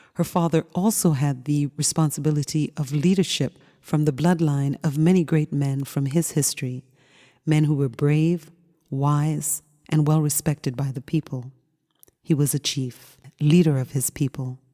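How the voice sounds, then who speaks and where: Soft-spoken and calm, a woman talks in a soothing, dark, mellow tone at a very deep pitch, with fairly even intonation at a moderate pace, the sound dry and close with no echo. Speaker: audiobook narrator. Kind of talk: audiobook reading. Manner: calm, soothing, soft-spoken.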